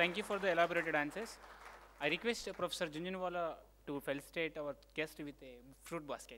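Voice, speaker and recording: A man's high, bright and sharp voice at a very fast pace, with big swings in loudness, ordinary pitch variation and light background noise. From India. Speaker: event emcee. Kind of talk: formal introduction. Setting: stage with audience. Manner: halting. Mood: formal, polite. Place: hall. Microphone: podium.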